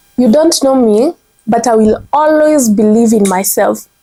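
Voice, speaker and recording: A woman with a Kenyan accent, a fairly high pitch and a dark, mellow tone. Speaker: content strategist. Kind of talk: motivational commentary to camera.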